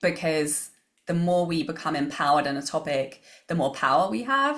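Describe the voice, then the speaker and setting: A woman speaks with an English accent at a very deep, low pitch and a moderate pace, with ordinary pitch variation. Her recording is very clean, with a silent background. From England. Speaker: business coach and author. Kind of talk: podcast interview.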